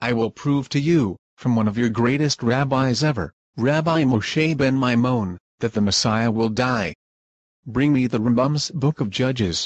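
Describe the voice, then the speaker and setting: A man puts on a character voice at a medium pitch. He moves at a moderate pace with ordinary pitch variation. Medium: stage play. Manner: insistent.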